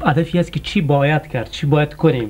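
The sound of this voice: A man's fairly high voice with a slightly mellow tone and ordinary pitch variation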